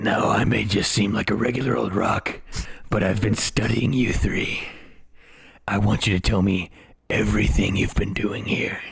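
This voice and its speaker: Using a put-on character voice, a man speaks in a raspy, menacing tone at a fairly low pitch and moderate pace. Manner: scary, menacing.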